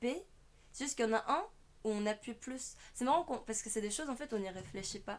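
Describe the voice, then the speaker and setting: A woman with a fairly high pitch rattles along at a very fast pace with lively intonation. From South Korea. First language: Korean (speaking French). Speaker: online language teacher, streamer. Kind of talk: tutorial.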